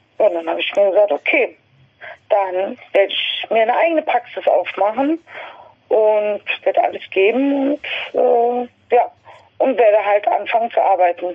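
Speaking at a moderate pace, a woman with a fairly high pitch makes very wide pitch swings and takes long, frequent pauses. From western Germany, Westerwald (Rhineland-Palatinate). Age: 50s. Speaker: podiatrist and amateur singer. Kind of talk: interview conversation. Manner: halting, many fillers.

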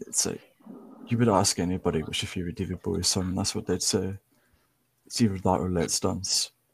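A man with a very deep, low, somewhat breathy voice talks at a fairly quick pace with fairly even intonation and long, frequent pauses, in a dry, close sound with no echo. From Ireland. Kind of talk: casual chat.

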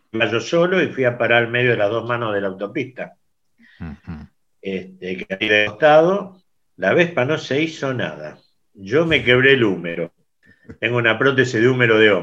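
A man at a medium pitch speaks with very wide pitch swings. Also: moderate pace. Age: 70s. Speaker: scooter club founder. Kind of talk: interview.

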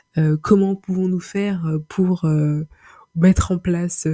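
Somewhat breathy with a dark, mellow tone, a woman speaks at a fairly low pitch. Her pace is very slow and her intonation fairly even. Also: dry, close sound with no echo. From Paris, France. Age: 20s. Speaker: podcaster. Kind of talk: solo monologue. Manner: halting, many repetitions and fillers.

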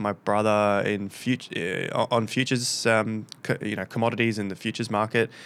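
A man with a plain, everyday voice speaks at a moderate pace and medium pitch, keeping his intonation fairly even. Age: 30s. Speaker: crypto investor and educator. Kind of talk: interview.

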